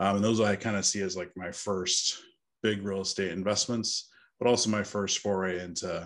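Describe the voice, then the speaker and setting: A man with an American accent and a plain, everyday voice talks at a fairly quick pace in a fairly low pitch. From Northern California. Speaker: co-living company founder; podcast guest. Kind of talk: interview. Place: home room. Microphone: earbuds.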